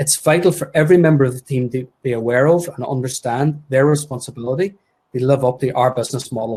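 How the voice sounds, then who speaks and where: A man speaks at a fairly quick pace in a fairly high pitch. His tone is dark and mellow, and somewhat breathy. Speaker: podiatry practice owner and webinar co-host. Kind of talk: webinar presentation. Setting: live webinar. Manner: fast.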